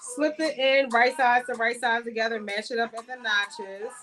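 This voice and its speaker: An American-accented woman's high-pitched voice at a moderate pace, fairly even in intonation, with music in the background. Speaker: sewing livestream host. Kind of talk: live sewing tutorial. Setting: livestream. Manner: casual, chatty.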